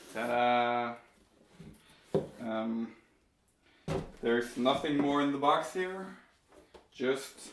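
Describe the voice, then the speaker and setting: At a very slow pace with long, frequent pauses, a man speaks at a medium pitch. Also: ordinary pitch variation. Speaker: tech YouTuber. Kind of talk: unboxing video. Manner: casual, with hesitations.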